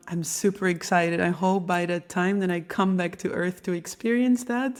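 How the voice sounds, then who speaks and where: A woman with a Dutch accent, fairly low in pitch, at a moderate pace, on a very clean recording with a silent background. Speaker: podcast host, medium and intuition teacher. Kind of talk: podcast monologue.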